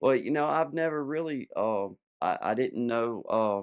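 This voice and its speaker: Against a quiet background, someone speaks with an American accent at a moderate pace and ordinary pitch variation. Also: man. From Maryland, near Baltimore. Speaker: podcast guest. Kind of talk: casual chat. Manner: relaxed, filler-heavy.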